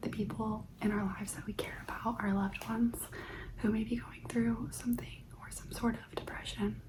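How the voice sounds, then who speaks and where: Whispering at a moderate pace. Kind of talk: ASMR stoic affirmations, guided reflection. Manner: soft-spoken, whispered, calming.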